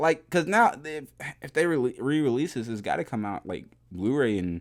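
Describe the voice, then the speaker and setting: A man speaks in an animated tone with very wide pitch swings on a very clean recording with a silent background. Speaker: YouTube reaction creator. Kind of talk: casual reaction commentary. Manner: animated, casual.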